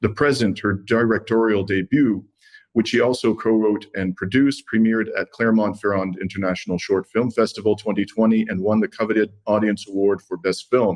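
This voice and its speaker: In a plain, everyday voice, a man talks at a fairly quick pace with a fairly low pitch. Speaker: interview host. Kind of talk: podcast interview introduction.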